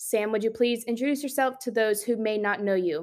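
Recorded very cleanly against a silent background, a woman with a plain, everyday voice and fairly high pitch speaks with ordinary pitch variation. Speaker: podcast host. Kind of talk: casual podcast chat.

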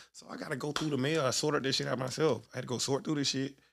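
A man speaks at a very fast pace with medium pitch and vocal fry. His intonation stays fairly even. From Birmingham, Alabama. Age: 30s. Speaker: former college football player. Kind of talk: casual chat.

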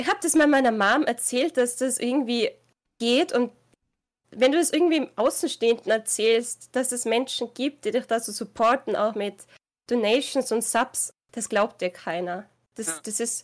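A woman speaks at a moderate pace in a high voice with lively intonation, recorded very cleanly against a silent background. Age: 20s. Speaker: gaming streamer. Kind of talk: interview.

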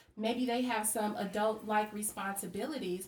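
With ordinary pitch variation, a woman's somewhat breathy voice comes through. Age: 30s. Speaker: school administrator. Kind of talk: casual chat.

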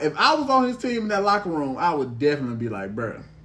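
Very fast speech from a man, with very wide pitch swings, audible room echo and noticeable background noise. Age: 30s. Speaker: podcast host. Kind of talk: casual chat.

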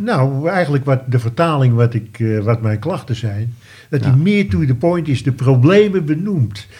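Somewhat breathy and dark, mellow in tone, a man speaks at a medium pitch and moderate pace with lively intonation. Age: 70s. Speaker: retired wine merchant, listener. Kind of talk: casual interview. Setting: studio.

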